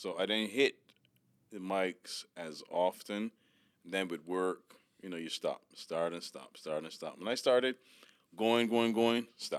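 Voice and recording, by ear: A man's low voice, clear and smooth in tone, slow in pace, with ordinary pitch variation.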